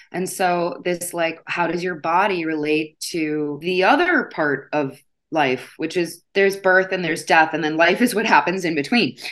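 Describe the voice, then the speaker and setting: An ordinary speaking voice in an American accent at a moderate pace, with ordinary pitch variation and hardly any pauses, over a quiet background. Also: woman, fairly low pitch for a woman. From US Midwest. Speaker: yoga teacher and body image educator. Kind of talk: interview.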